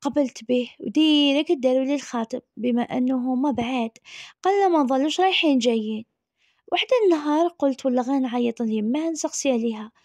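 A woman speaks at a moderate pace, her high pitch moving with ordinary variation. The sound is dry and close with no echo, over a quiet background. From Algeria, Tizi Ouzou. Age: 30s. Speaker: storyteller. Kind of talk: personal storytelling.

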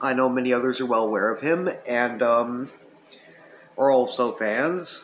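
At a fairly slow pace, a man speaks with ordinary pitch variation over light background noise. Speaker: retro gaming channel host. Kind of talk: casual review vlog chat. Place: home room. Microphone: webcam.

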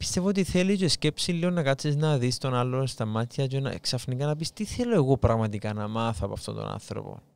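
Speaking at a fairly quick pace with hardly any pauses, a man with a Cypriot accent uses lively intonation at a medium pitch in a very clean recording with a silent background. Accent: Cypriot Greek. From Cyprus. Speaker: podcast host. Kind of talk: interview.

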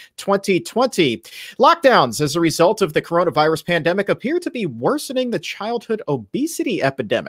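Pitch swings very widely as a man talks at a fairly quick pace. Behind him the background stays quiet. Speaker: show host. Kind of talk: news headline presentation. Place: home room.

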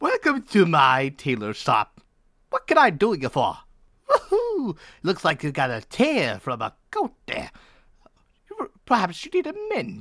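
At a fairly slow pace, a man with a high pitch speaks, leaving long, frequent pauses. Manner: jolly, folksy, chatty.

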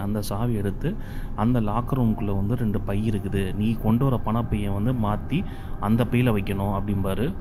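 Against noticeable background noise, a man speaks in a flat monotone at a fairly low pitch. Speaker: movie story narrator / voice-over reviewer. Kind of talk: movie story recap narration.

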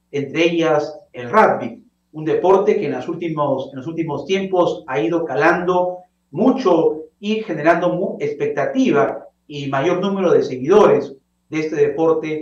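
Amid audible room echo, a man talks at a fairly slow pace and high pitch, with ordinary pitch variation and big swings in loudness. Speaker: TV interview host. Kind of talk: presenter introduction. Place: home room. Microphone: webcam.

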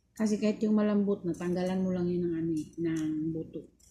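This woman's somewhat breathy voice has a dark, mellow tone, a fairly low pitch and fairly even intonation. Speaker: vlogger. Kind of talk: casual vlog. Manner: halting, many fillers.

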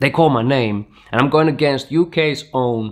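A man talks at a moderate pace. Behind him, the background stays quiet. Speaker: breakdance teacher. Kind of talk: storytelling vlog. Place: studio.

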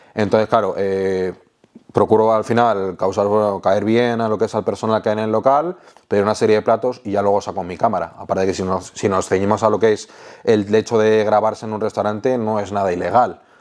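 A man with a plain, everyday voice talks at a fairly quick pace, pitched fairly low, with fairly even intonation. The background is quiet. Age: 30s. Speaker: food content creator; interviewee, food content creator. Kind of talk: casual interview. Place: home room. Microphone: lapel.

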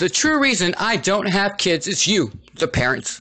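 A man projects a raised voice at a fairly slow pace. His pitch sits high, with a bright, sharp tone. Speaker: writer reading own article. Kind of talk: humorous reading of own written piece.

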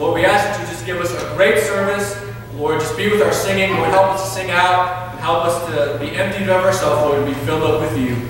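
Strong room echo and light background noise surround a man whose high pitch moves with ordinary pitch variation. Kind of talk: spoken prayer. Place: church. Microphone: camera far.

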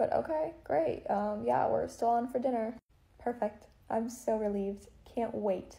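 This woman talks at a fairly slow pace, somewhat breathy, and her pitch varies in an ordinary way. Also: very even loudness. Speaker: comedy skit creator. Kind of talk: acted comedic dialogue, playing both roles. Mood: sarcastic, dramatic, jealous. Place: home room. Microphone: phone near.

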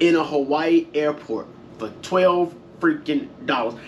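A man speaks in a high voice with very wide pitch swings over light background noise. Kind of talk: casual vlog chat. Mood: frustrated, venting. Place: home room. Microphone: camera far.

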